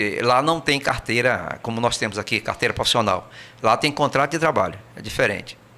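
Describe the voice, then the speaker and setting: Someone with a Brazilian accent talks at a fairly quick pace. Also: man, medium pitch for a man, ordinary pitch variation. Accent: kept his Brazilian. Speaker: emigrant recounting experience. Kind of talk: interview. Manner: hesitant, many fillers and repetitions.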